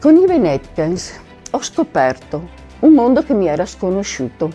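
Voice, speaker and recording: A woman talks at a fairly slow pace. Behind her, music is playing. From Veneto, Italy. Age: 70s. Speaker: retired nurse. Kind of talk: testimonial talk to camera.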